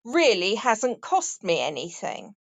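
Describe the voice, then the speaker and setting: In a dry, close recording with no echo and a quiet background, a woman with an English accent talks fairly slowly at a high pitch. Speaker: voiceover artist. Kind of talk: casual chat. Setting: audio chat room.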